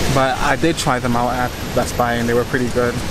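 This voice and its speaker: Over loud background noise, a man talks in a dry sound with no echo. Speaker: vlogger. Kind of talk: casual vlog chat. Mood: relaxed, chatty. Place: street. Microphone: phone near.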